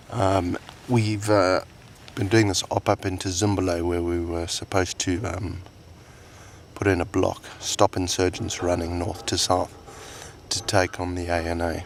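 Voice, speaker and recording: A man speaks at a fairly slow pace in a very deep, low voice that is somewhat breathy. His intonation stays monotone and flat. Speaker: soldier keeping a video diary. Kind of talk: video diary. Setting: outdoors in the desert in Afghanistan. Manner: quiet, speaking softly.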